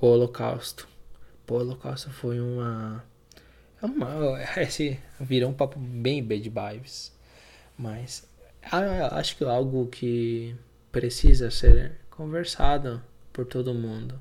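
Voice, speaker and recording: With a Spanish accent, a man speaks at medium pitch in a dark, mellow, somewhat breathy voice, going very slowly with long, frequent pauses, big swings in loudness and ordinary pitch variation. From Argentina (Buenos Aires), moved to Brazil at 12. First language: Spanish (speaking Portuguese). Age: 20s. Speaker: podcast host. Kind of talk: casual solo monologue. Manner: hesitant, improvised.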